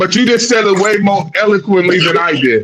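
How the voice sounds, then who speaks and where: A man with a high pitch speaks at a fairly slow pace, using ordinary pitch variation. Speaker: podcast host. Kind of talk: casual chat. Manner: loud; brash.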